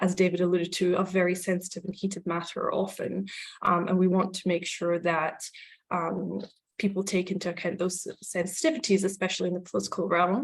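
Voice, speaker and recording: Woman at a medium pitch, fairly quick, with monotone, flat intonation and vocal fry. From Scotland and Israel. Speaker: advocacy group communications director. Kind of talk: panel talk. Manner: hesitant, many ums.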